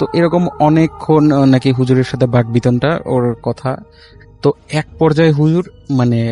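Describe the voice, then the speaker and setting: Music plays in the background as a man speaks with fairly high pitch. The sound is dry and close with no echo, and his intonation is fairly even. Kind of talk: telling a ghost story on a live horror radio show.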